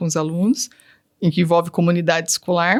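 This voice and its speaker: A woman's fairly low-pitched voice at a fairly quick pace, in a very clean recording with a silent background. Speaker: teacher and digital influencer. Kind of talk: interview testimony.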